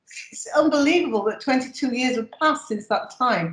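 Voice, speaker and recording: A woman speaks in a somewhat breathy voice. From northern England, Sheffield. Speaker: emeritus professor of nursing. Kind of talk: interview.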